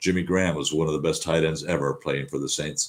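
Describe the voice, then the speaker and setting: The recording is very clean, with a silent background. A man with a very deep, low pitch speaks at a fairly quick pace and with fairly even intonation. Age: 70s. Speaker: sports podcast host. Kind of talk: casual sports commentary monologue. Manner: relaxed, conversational with fillers.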